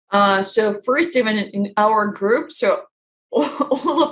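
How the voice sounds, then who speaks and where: A woman speaks with a Russian accent at a fairly high pitch. Her pitch swings very widely. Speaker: life coach. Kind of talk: interview. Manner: halting.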